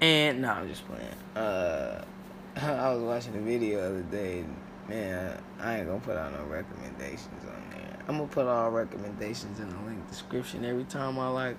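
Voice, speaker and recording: Amid noticeable background noise and audible room echo, a man with a medium pitch speaks at a fairly quick pace with lively intonation. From San Francisco, Hunters Point. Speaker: podcast host. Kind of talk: casual monologue. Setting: on the way to work.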